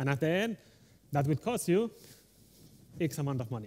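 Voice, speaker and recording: A man with a strong Spanish accent, somewhat breathy, fairly high in pitch, at a fairly quick pace, with very wide pitch swings. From Spain. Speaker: delivery manager, conference speaker. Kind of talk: conference talk. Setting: stage with audience. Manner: fast.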